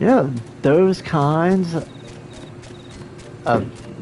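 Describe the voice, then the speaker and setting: Noticeable background noise fills the recording. Through it, a man's voice comes across. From Oklahoma. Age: 50s. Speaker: video game streamer. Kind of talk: casual live-stream gameplay chat. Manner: halting, many fillers.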